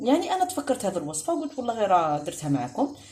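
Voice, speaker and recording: A woman with an Algerian accent at a fairly quick pace amid noticeable background noise. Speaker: cooking video host. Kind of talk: cooking tutorial. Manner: casual.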